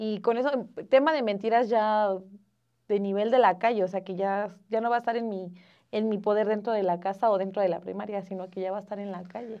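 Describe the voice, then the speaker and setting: A woman speaks at a fairly quick pace with fairly even intonation. The background is quiet. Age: 20s. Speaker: mother and student; interview guest. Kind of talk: casual chat. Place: studio.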